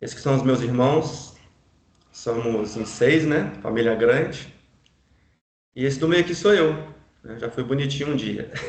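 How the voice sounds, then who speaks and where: A man's medium-pitched voice with ordinary pitch variation, a fairly slow pace, long, frequent pauses and audible room echo. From Brazil, Minas Gerais (Juiz de Fora). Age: 40s. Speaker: real estate broker. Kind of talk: life story testimony. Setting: online live stream.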